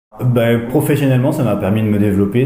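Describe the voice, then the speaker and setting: A man's voice with fairly even intonation, audible room echo and noticeable background noise. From France, Charente (Angoulême area). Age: 40s. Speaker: rural health practitioner. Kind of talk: interview testimony. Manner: hesitant, many fillers.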